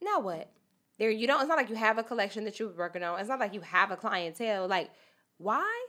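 Very fast speech comes from a woman with a fairly high pitch. Her intonation is lively and her tone bright and sharp. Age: 30s. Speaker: fashion podcast host. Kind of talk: casual chat. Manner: direct.

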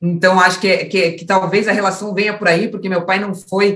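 A woman speaks at a moderate pace in an ordinary speaking voice, her pitch medium and her intonation fairly even. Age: 30s. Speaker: former professional footballer. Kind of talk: interview.

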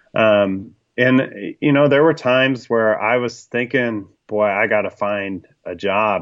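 With an American accent, this man has an ordinary speaking voice. His pitch is medium and his intonation fairly even. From US West Coast, Sacramento. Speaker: marketing and brand consultant, writer. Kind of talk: interview, casual chat. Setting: home basement.

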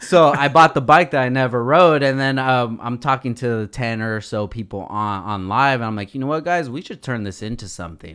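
On a very clean recording with a silent background, a man with an unremarkable speaking voice and medium pitch talks at a fairly quick pace, with hardly any pauses, lively intonation and big swings in loudness. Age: 30s. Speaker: podcast host. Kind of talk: casual chat. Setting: studio.

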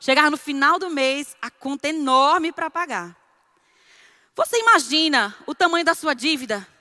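A woman projects her voice at a high pitch with a bright, sharp tone. The sound is dry and close, with no echo. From Northeast Brazil. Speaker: preacher. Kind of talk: sermon. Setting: church.

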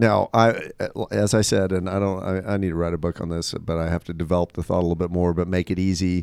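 Over a very clean recording with a silent background, a man with a very deep, low voice speaks at a very fast pace. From Asia. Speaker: talk show host. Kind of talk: casual chat. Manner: animated.

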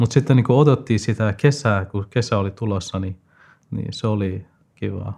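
With a non-native accent, a man speaks at a moderate pace in a fairly low, dark, mellow voice. It is somewhat breathy, with ordinary pitch variation. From Afghanistan. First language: not Finnish (speaking Finnish). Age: 20s. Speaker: student. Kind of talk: interview. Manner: halting, many fillers.

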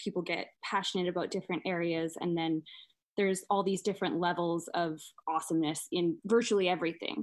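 A woman's ordinary speaking voice at medium pitch, moving at a fairly quick pace, in a very clean recording with a silent background. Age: 20s. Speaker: painter. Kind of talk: casual interview chat.

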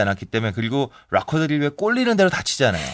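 A man speaks in an animated tone. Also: quiet background. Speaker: music critic. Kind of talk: casual chat.

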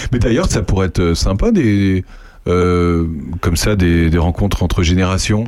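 A man with a very deep, low pitch speaks at a fairly slow pace with very even loudness. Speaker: radio host. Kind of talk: casual chat. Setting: studio. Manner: animated.

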